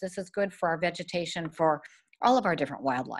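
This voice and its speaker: A woman speaks in an unremarkable speaking voice, fairly low in pitch with ordinary variation. The background is quiet. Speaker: presenter. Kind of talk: lecture. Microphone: webcam.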